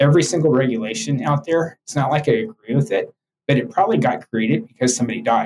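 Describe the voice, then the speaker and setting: Talking at a very fast pace, a man with a fairly high, somewhat breathy voice makes very wide pitch swings. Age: 60s. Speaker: health technology executive. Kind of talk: interview.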